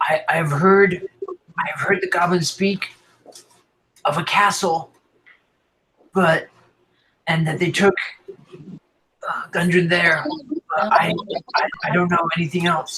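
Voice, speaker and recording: In a put-on character voice, a man speaks with a high, raspy pitch, flat monotone delivery, a fairly slow pace and long, frequent pauses. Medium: actual play. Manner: stammering, hesitant.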